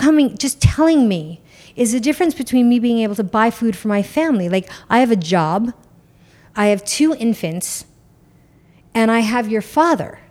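A woman with a New York accent talks at a moderate pace with lively intonation, recorded very cleanly against a silent background. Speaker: businesswoman and mother. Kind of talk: casual chat.

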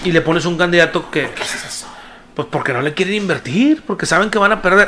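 Over noticeable background noise, a man with a high pitch talks at a very fast pace in an animated tone, with ordinary pitch variation. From Mexico, Nuevo León (Monterrey area). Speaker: podcast co-host. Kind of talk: casual chat.

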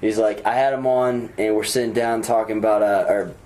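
A man's medium-pitched voice, fairly quick in pace, over noticeable background noise. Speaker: podcast guest. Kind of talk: casual chat.

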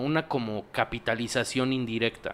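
A man's medium-pitched voice, with ordinary pitch variation, comes through on a very clean recording against a silent background. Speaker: podcast host. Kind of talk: casual chat.

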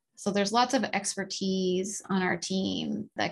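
A woman speaks in a Maritime Canadian accent at a fairly slow pace. Her voice is somewhat breathy and medium in pitch. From Nova Scotia, Canada. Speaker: agricultural scientist. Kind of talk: interview.

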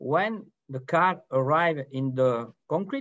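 Intonation runs lively as a man speaks with a French accent. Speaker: company founder. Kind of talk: webinar presentation.

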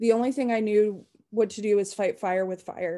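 In a dark, mellow tone, a woman talks at a moderate speed. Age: 20s. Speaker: abuse survivor and military veteran. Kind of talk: reading aloud. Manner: halting.

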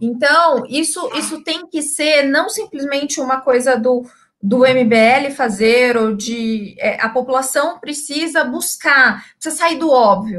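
Very slow speech from a woman with a high pitch and ordinary pitch variation. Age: 30s. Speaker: journalist turned business owner and political commentator. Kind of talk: live-streamed political panel chat. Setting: live stream.

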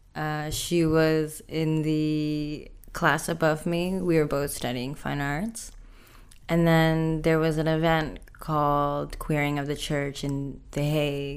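A very deep, low-pitched woman's voice, monotone and flat, at a very slow pace with audible room echo. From Indonesia. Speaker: artist. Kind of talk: interview.

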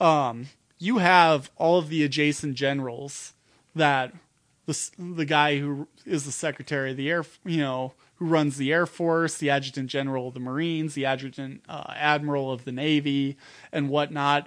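An Upper Midwest accent at a moderate pace over a quiet background. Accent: Upper Midwest American. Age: 30s. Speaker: political organizer and technician. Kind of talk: casual chat.

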